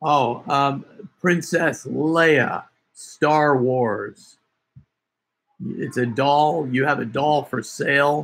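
Adopting a raspy, put-on character voice at a fairly high pitch, a man speaks at a very slow pace with long, frequent pauses and ordinary pitch variation. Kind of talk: prank phone call. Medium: game stream. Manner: folksy, rambling, bumbling. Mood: slow, explaining.

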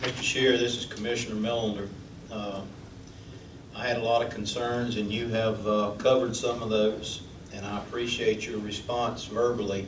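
Over noticeable background noise and audible room echo, a man speaks at a medium pitch. He has a Southern US accent and monotone, flat intonation. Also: moderate pace. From Florida Panhandle. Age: 60s. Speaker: city commissioner. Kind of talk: public meeting comment. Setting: city hall chambers.

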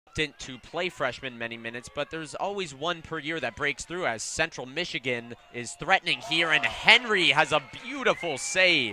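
Lively intonation carries this man's fairly high voice, recorded dry and close with no echo amid noticeable background noise. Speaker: sports commentator. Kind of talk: live play-by-play commentary of a women's soccer match. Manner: animated, quick, excited on goals and big saves; fluent and descriptive, calling the action as it happens.

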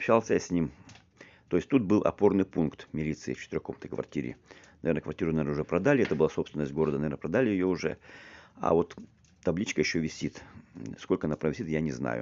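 A man with a very deep, low pitch and vocal fry speaks very fast with lively intonation. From Siberia, Krasnoyarsk region; Siberia, Russia. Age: 50s. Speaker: video blogger. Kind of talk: walking tour vlog narration. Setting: outdoors, walking in town. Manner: halting, repetitive. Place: street. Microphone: phone near.

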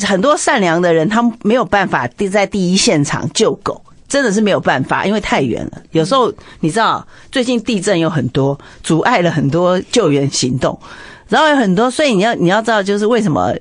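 A woman speaks at a fairly quick pace in a Taiwanese accent, her pitch medium. Her voice rises and falls in very wide swings. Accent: Taiwanese Mandarin. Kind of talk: casual chat. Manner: loud.

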